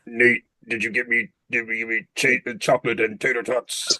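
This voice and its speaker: Using a put-on character voice at medium pitch, a man speaks in a menacing tone at a moderate pace. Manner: menacing, demanding.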